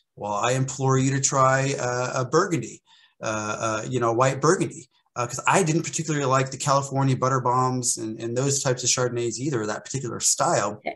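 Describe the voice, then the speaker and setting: Speaking with an American accent, a man moves at a fairly quick pace with fairly even intonation against a quiet background. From US, central Oklahoma. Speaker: sommelier and wine educator; wine educator. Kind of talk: casual interview chat. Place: home room. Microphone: video call.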